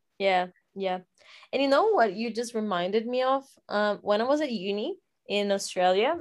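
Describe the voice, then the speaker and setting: A woman speaks at a moderate pace and a fairly high pitch, in a Portuguese accent. The recording is very clean, the background silent. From Brazil. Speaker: podcast co-host. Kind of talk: casual chat.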